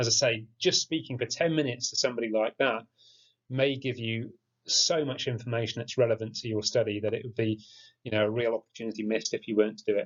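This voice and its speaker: A man with an English accent and a medium pitch speaks at a very fast pace, his intonation fairly even. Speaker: geography teacher. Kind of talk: tutorial. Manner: monotone.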